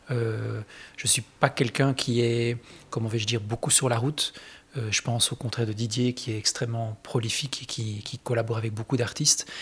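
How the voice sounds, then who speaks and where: A man with a medium pitch and a somewhat breathy voice talks at a fairly quick pace in a monotone, flat way. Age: 40s. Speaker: guitarist. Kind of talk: interview.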